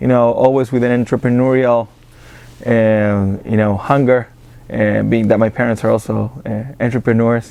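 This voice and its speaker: A man with an Argentine accent speaks at a moderate pace and medium pitch. His intonation is monotone and flat. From Argentina. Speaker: business accelerator director. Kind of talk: interview. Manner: halting, many fillers and repetitions.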